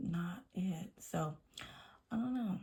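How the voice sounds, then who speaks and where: A somewhat breathy woman's voice. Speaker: nail polish vlogger. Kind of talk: casual chat. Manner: halting.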